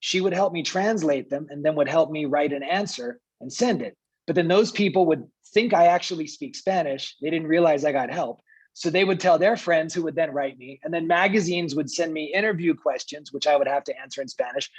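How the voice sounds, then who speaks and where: The speaker talks at a fairly quick pace with an American accent. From US. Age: 40s. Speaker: diplomat. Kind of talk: panel talk.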